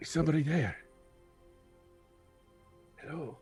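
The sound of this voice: A put-on character voice, raspy and at a middle pitch, moves at a moderate pace over faint background music.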